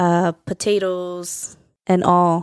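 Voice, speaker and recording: A woman with an American accent talks at a medium pitch in a monotone, flat intonation. The sound is dry and close with no echo, on a very clean recording with a silent background. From Central New Jersey, US. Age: 30s. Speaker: podcast host. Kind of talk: casual chat.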